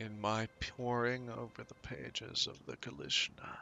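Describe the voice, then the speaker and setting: Putting on a character voice, a man talks at a medium pitch and moderate pace over clear background noise. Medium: actual play. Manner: wry, scholarly.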